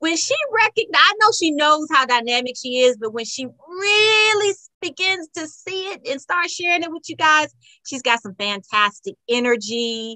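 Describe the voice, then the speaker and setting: A woman's raised, projected voice, high-pitched with a bright, sharp tone, very wide pitch swings and big swings in loudness, at a moderate pace with hardly any pauses, the sound dry and close with no echo. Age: 50s. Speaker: podcast host and home decorator. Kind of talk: interview podcast. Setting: video call.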